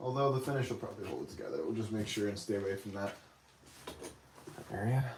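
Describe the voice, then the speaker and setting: A man speaks at a very fast pace and medium pitch, with long, frequent pauses. His intonation is fairly even, and audible room echo surrounds him. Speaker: woodcarver and carving teacher. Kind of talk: live stream carving demo and chat. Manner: quiet, not projecting.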